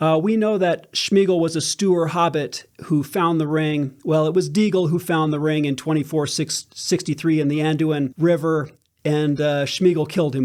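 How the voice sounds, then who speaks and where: Using a normal speaking voice, a man speaks at a moderate pace and fairly high pitch with hardly any pauses, in a very clean recording with a silent background. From United States. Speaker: fan channel host and audiobook narrator. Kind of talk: casual talk to camera, fan commentary. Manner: chatty, upbeat.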